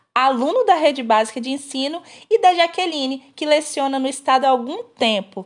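With lively intonation, the speaker talks at a moderate pace. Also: woman. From Brazil, Espírito Santo (rural). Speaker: podcast host, education student. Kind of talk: scripted podcast interview. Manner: formal.

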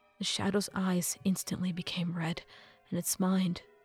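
The voice is heard reading. It is a natural reading voice.

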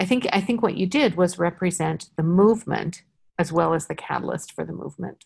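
A woman with a fairly low pitch speaks at a fairly quick pace, showing vocal fry and ordinary pitch variation. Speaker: podcast host and company founder. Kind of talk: casual interview.

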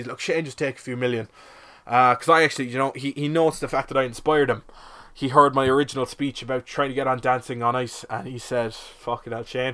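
Speaking very fast in a Cork accent, a man has a bright, sharp tone at a medium pitch. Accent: Cork Irish. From Ireland, Cork. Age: 20s. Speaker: podcast host. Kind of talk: comedic monologue. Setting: shed.

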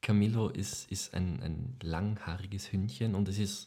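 A man talks at a fairly low pitch with ordinary pitch variation and some vocal fry. His tone is dark and mellow. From Lower Austria. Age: 20s. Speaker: actor, podcast co-host. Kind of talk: casual chat.

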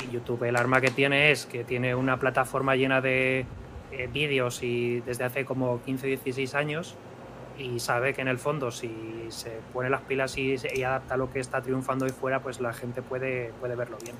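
Over noticeable background noise, a man talks at a moderate pace in a medium pitch with monotone, flat intonation. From Spain, Madrid. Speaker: software developer and content creator. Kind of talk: casual chat.

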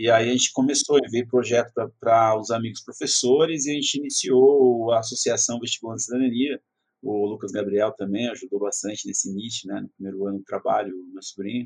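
A man talks fairly quickly in an ordinary speaking voice, at medium pitch with fairly even intonation. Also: big swings in loudness. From Brazil, São Paulo metro area. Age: 30s. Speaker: educator, prep course founder. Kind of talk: interview.

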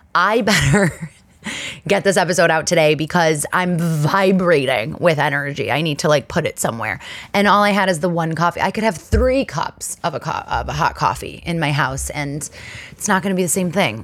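A woman puts on a raspy character voice, fairly low in pitch, delivered at a moderate pace. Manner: very fast, energetic.

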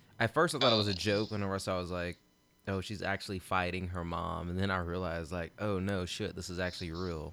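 On a very clean recording with a silent background, a man talks at a very fast pace, his pitch very deep and low and his tone bright and sharp. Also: fairly even intonation. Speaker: podcast host. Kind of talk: casual chat.

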